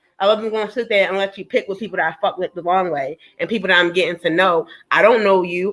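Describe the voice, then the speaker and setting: Talking at a very fast pace, a woman of medium pitch shows big swings in loudness. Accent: Baltimore. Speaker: panelist. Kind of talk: heated debate. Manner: animated, cursing.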